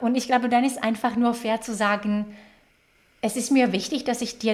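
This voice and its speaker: A woman speaks with a slight Slovak accent. Her pitch is fairly high. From Slovakia. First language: Slovak (speaking German). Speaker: HR executive. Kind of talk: interview. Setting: video call.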